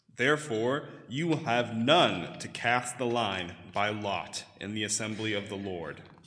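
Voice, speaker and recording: A man with a plain, everyday voice speaks at a medium pitch and fairly slow pace, with ordinary pitch variation. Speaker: scripture reader. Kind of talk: reading aloud. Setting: church.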